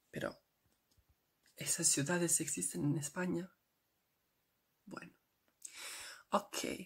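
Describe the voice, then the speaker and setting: Soft-spoken with vocal fry, a woman talks at a fairly low pitch and moderate pace, with fairly even intonation and long, frequent pauses. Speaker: ASMR creator. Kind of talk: ASMR geography facts talk to camera.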